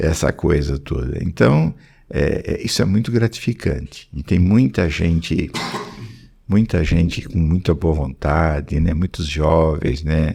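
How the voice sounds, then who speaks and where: A dark, mellow voice with vocal fry, lively intonation, and a fairly slow pace. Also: man. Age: 70s. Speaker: pediatric oncologist and professor. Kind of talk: podcast interview. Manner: halting, with frequent repetitions.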